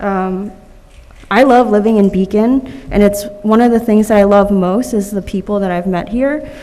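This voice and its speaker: A woman with an American accent speaks at a moderate pace and medium pitch, her intonation fairly even, over noticeable background noise. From New York City (Manhattan). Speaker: public commenter at council meeting. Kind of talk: public comment speech.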